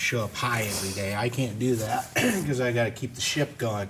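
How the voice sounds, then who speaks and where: With an animated tone and ordinary pitch variation, a man talks at a moderate pace. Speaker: game review show host. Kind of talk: casual chat. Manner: loud. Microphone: audio issues.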